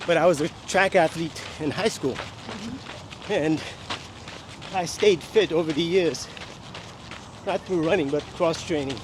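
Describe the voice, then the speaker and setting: A man in an American accent, high-pitched, at a fairly slow pace with long, frequent pauses, ordinary pitch variation and noticeable background noise. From New York City. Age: 60s. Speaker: masters marathon runner. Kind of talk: interview answer.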